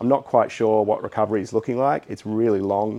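A man's fairly low, dark, mellow voice in fairly even intonation at a fairly quick pace. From Sydney, Australia (Hunters Hill). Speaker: architect. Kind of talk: casual interview. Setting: in a shed he designed.

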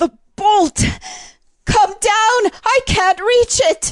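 A put-on character voice is pushed to an extremely high pitch and sounds strained. It moves at a very slow pace. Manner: strained, panting, desperate.

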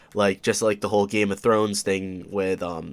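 Very clean, with a silent background, this recording features a man with an upstate New York accent. He speaks fairly low in a monotone, flat intonation. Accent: upstate New York American. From Oswego, New York, US. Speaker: podcast host. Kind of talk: casual solo monologue. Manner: hesitant, many fillers.

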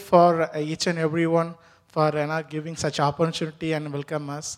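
The speaker uses an Indian accent at a moderate pace. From India (Tamil). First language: Tamil. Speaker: immigrant worker. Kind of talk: testimony interview. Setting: church stage. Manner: halting.

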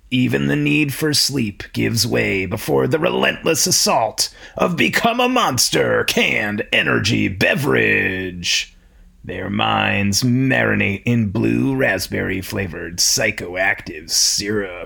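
Rather slow speech from a man with a very deep, low voice. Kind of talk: mock-epic radio narration.

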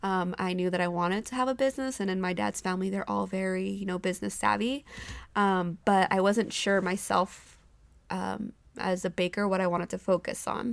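Delivered at a fairly quick pace, this is an ordinary speaking voice. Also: woman, medium pitch for a woman. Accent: American. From California, Central Valley (Modesto). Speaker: small business owner. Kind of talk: casual interview. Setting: at home after dinner.

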